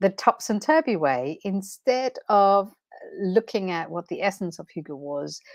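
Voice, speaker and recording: A woman with a Danish accent speaks fairly slowly at a medium pitch, with very wide pitch swings and big swings in loudness. The sound is dry and close with no echo, on a very clean recording with a silent background. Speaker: transformation coach. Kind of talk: live stream talk. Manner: unscripted, hesitant with fillers.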